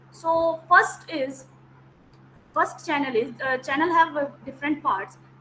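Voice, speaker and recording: A woman speaks in a high voice with an Indian accent. Her pace is moderate. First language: Hindi. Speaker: teacher. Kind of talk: lecture. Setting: video call.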